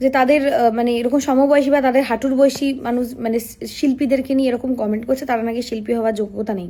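Her voice is high-pitched with a dark, mellow tone, and this woman keeps her intonation fairly even. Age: 20s. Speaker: stage singer and vlogger. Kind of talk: vlog monologue to camera. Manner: halting, many fillers.

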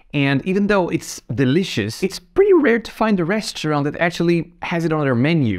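With lively intonation and a moderate pace, a man talks over a quiet background. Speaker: travel channel host. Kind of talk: travel recommendation talk to camera. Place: home room. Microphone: lapel.

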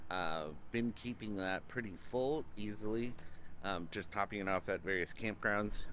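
The voice has a bright, sharp tone, ordinary pitch variation and a moderate pace. The sound is dry with no echo, over light background noise. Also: man. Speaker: RV owner reviewing his van. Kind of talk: casual vlog walkthrough tour. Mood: relaxed, upbeat. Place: open country. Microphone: phone near.

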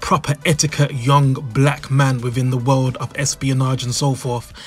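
Over music in the background, a man with a British accent speaks at a fairly high pitch. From United Kingdom. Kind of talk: commentary to camera.

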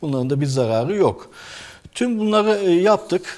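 This man talks at a moderate pace. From Turkey, Ankara. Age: 40s. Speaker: orthopedic surgeon; orthopedics professor guest. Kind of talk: medical interview; interview answer. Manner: hesitant, many filler sounds. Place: studio. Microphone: lapel.

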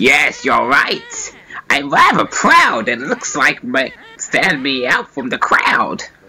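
A man shouts at a fairly slow pace in a put-on character voice. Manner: boastful, rhyming, cackling.

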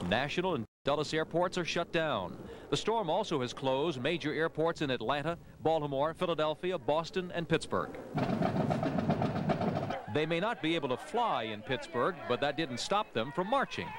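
A man with a fairly high pitch and a fairly bright tone talks at a moderate pace. His intonation is lively, with faint background noise behind him.

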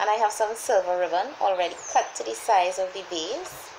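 A woman talks fairly slowly while noticeable background noise is heard. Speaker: DIY home decor vlogger. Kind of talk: tutorial. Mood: cheerful, smiling. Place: home room. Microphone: phone near.

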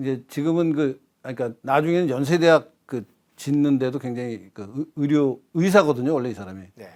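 A man with a plain, everyday voice speaks at a moderate pace with ordinary pitch variation and big swings in loudness. The recording is very clean, with a silent background. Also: fairly high pitch for a man. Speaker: retired professor. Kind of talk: interview on history.

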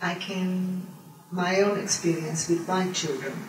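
Over audible room echo, a woman speaks at a fairly slow pace with little pitch movement. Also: fairly low pitch for a woman.

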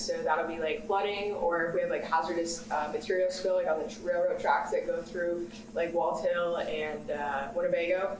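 Light background noise and audible room echo accompany a woman speaking at a moderate pace with ordinary pitch variation. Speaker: graduate student panelist. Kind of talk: panel discussion. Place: meeting room. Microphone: camera far.

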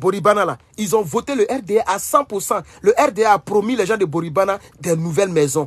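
Speaking with an Ivorian accent in an animated tone, a man goes at a fairly slow pace in a dry sound with no echo and a quiet background. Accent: Ivorian French accent when speaking English. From Côte d'Ivoire. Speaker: political commentator. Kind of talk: livestream commentary. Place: home room. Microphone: phone near.

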